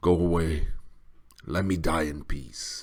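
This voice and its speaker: A man growls in a put-on character voice at a very deep, low pitch. He speaks at a fairly slow pace. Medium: read story. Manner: growling, low.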